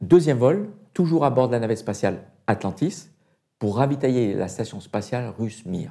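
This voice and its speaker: His voice has a dark, mellow tone and a medium pitch. This man moves at a moderate pace with very wide pitch swings. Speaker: retired astronaut. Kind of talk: interview.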